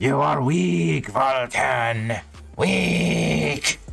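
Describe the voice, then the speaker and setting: A man's put-on character voice, very deep and rumbling, with very wide pitch swings. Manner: slow, ghostly.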